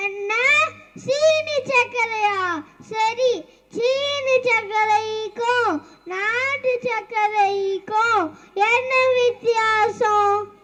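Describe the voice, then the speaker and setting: A woman puts on a squeaky character voice at an extremely high pitch. She talks at a very slow pace. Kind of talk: school comedy skit. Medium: stage play. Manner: scolding, impatient.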